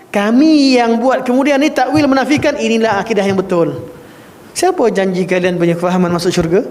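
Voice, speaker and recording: A man's high-pitched voice at a very fast pace, with lively intonation and very even loudness, amid audible room echo and noticeable background noise. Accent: Malaysian. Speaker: Islamic religious teacher. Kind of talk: religious lecture. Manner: firm, emphatic in creed class.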